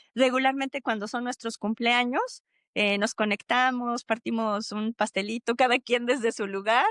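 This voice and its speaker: A woman with a high voice speaks at a moderate pace with fairly even intonation, recorded with a dry, close sound and no echo. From Mexico City. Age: 50s. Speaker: thanatologist. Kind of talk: podcast interview. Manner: hesitant, many fillers.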